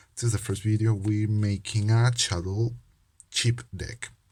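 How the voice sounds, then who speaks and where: Speaking at a fairly slow pace with a non-native accent, a man uses a fairly low, somewhat breathy voice. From Peru. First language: Spanish. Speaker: trading card game youtuber. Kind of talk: casual vlog talk. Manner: halting, many fillers.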